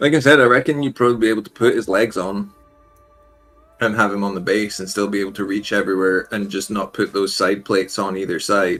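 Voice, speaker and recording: A man speaks at a moderate pace in a Scottish accent, his pitch fairly low. His intonation stays fairly even, with music playing in the background. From Scotland. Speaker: miniature painting streamer. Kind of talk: casual chat.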